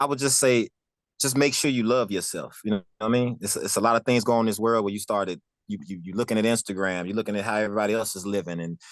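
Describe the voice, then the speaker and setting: With an American accent, a man speaks very fast in a fairly low pitch against a quiet background. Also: ordinary pitch variation. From Memphis, US South. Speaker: music producer and artist. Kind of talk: interview. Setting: studio.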